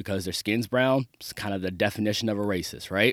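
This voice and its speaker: A man with an American accent and a plain, everyday voice speaks at a moderate pace and fairly low pitch, the sound dry and close with no echo. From Maryland, US. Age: 30s. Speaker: podcast host. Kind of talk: solo commentary monologue.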